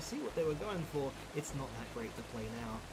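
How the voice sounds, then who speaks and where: A man with a British accent talks at a fairly quick pace and a fairly high pitch. Noticeable background noise and audible room echo surround him. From Britain. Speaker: video game reviewer. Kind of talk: list countdown commentary.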